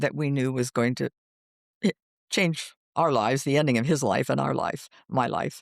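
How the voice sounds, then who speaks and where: A woman's very deep, low voice with vocal fry and ordinary pitch variation, at a moderate pace broken by long, frequent pauses, in a dry, close, very clean recording with a silent background and no echo. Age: 80s. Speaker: hospice volunteer and widowed caregiver. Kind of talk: interview. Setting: podcast. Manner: halting, many fillers.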